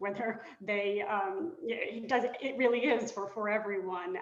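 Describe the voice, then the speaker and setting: A woman talks in a fairly high voice. Audible room echo surrounds her. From Britain. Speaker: board candidate, law professor. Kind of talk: candidate introduction in a webinar. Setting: webinar.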